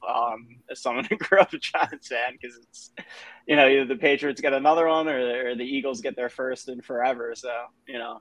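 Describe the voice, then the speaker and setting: Using a normal speaking voice, a man talks at a fairly quick pace at medium pitch, with ordinary pitch variation and big swings in loudness. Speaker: sports TV host. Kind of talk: casual podcast interview.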